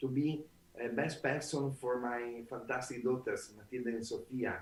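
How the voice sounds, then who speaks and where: A man speaks with an Italian accent. His intonation stays fairly even. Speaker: author and trainer. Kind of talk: interview. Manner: halting.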